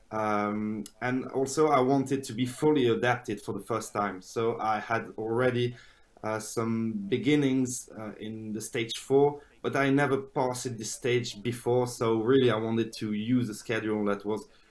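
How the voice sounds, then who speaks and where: With a French accent, a man speaks at a medium pitch with fairly even intonation. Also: fairly slow pace. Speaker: polyphasic sleeper. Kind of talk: interview. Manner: halting, many fillers.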